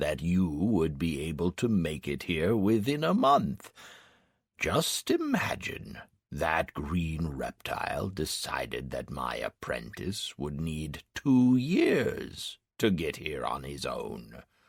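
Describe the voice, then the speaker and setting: Very deep, low pitch in a put-on character voice from a man. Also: fairly slow pace. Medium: read story. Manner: gruff, teasing.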